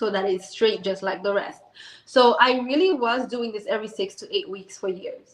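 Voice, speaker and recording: A woman speaks at a moderate pace in a high voice, with a slight Haitian accent. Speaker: business owner. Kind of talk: interview. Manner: animated.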